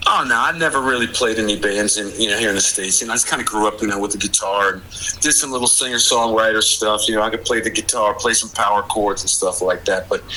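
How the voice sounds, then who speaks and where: Over noticeable background noise, a man with an American accent and medium pitch talks at a very fast pace. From Maryland, DC suburbs. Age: 60s. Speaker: former bike messenger. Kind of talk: casual interview. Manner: energetic, youthful cadence.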